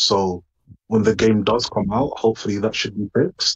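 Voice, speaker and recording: Here, a man speaks at a fairly low pitch and a moderate pace. His voice is somewhat breathy, with monotone, flat intonation. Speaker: gamer. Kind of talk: casual chat.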